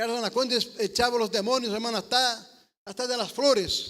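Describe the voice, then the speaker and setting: With a raised, projected voice, a man speaks at an extremely high pitch in a bright, sharp tone. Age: 60s. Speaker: preacher, missionary. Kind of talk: sermon. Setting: church service, livestream. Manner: halting, repeats words.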